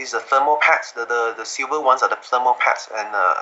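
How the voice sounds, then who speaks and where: Talking at a very fast pace, a man speaks with a non-native accent. Background noise is noticeable. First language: not English. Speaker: laptop hardware enthusiast. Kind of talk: technical interview. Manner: halting, many fillers and repetitions.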